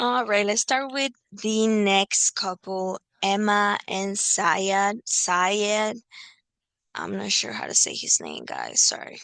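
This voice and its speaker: Very slow speech from a woman at a medium pitch, with a non-native accent and a dry, close sound with no echo. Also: fairly even intonation. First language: not English. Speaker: reality TV commentator. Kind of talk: casual recap monologue. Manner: hesitant, many fillers.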